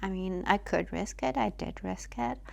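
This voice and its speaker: A woman with a non-native accent is heard on a very clean recording with a silent background. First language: not English. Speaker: vlogger. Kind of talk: personal reflection monologue. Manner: halting, many fillers.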